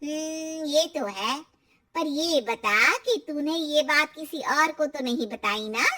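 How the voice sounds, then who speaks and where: In a cartoonish character voice, a woman talks at a moderate pace, high-pitched and with lively intonation. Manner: knowing, confiding.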